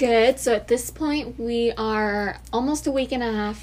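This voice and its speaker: Fairly slowly and with fairly even intonation, a woman with a normal speaking voice talks at a fairly high pitch. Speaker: college podcast co-host. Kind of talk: casual chat.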